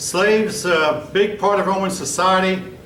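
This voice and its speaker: This man's voice is high in pitch. Audible room echo and noticeable background noise fill the recording. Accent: American. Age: 60s. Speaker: history teacher. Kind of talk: classroom lecture.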